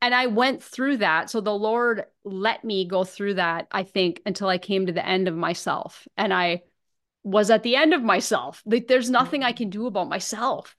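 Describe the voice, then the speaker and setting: A woman with an American accent talks at a medium pitch and a moderate pace, with ordinary pitch variation. Hers is an unremarkable speaking voice against a quiet background. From northern Minnesota. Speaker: recovery ministry director and author. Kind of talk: testimony.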